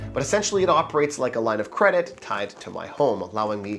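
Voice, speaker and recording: A man races along at a very fast pace while music plays in the background. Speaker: mortgage broker. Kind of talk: casual talk to camera. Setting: scratchy microphone audio.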